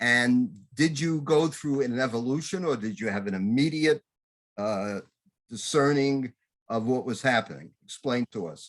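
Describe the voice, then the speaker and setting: A man talks at a medium pitch with lively intonation, in an ordinary speaking voice. The recording is very clean, with a silent background. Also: moderate pace. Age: 60s. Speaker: talk show host. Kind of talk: interview.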